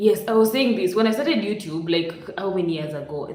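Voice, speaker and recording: A woman's medium-pitched voice in a Kenyan accent, fairly quick in pace and lively in intonation, with noticeable background noise. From Western Kenya. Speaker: YouTube live streamer. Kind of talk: casual live stream chat. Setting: live stream, home.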